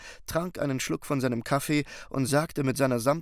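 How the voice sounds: Reading aloud in a natural voice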